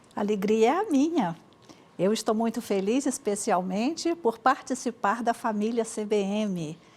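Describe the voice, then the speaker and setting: With a Minas Gerais accent, a woman speaks at a fairly slow pace in a fairly high pitch with lively intonation. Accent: Minas Gerais (mineiro). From Brazil, Espírito Santo (Cachoeiro de Itapemirim). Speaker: Baptist women's organization director. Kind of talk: interview testimony. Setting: TV studio, live broadcast.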